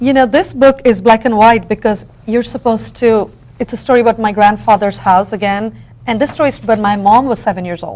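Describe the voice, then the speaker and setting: Fairly quick speech in a Bengali accent with ordinary pitch variation. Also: woman, fairly high pitch for a woman. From India. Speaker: book artist and educator. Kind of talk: interview.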